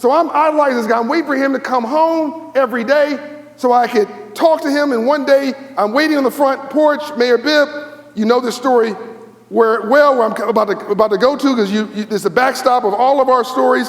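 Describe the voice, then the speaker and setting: Speaking at a fairly quick pace, a man with an American accent uses an extremely high pitch, an animated tone and ordinary pitch variation, with noticeable background noise behind him. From Los Angeles, US. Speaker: keynote speaker. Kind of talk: keynote speech. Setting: stage with audience. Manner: fast.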